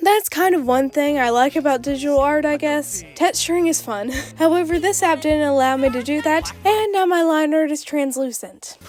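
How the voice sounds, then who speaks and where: Over music in the background, a woman speaks in a high pitch at a moderate pace, with ordinary pitch variation and hardly any pauses. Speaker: digital artist. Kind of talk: scripted YouTube voiceover commentary.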